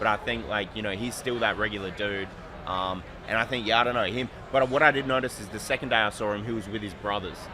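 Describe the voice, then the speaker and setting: A speaker with an Australian accent talks at a very fast pace with fairly even intonation over noticeable background noise. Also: man, fairly low pitch for a man. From Australia, Adelaide. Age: 30s. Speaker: sports card designer. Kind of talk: casual interview.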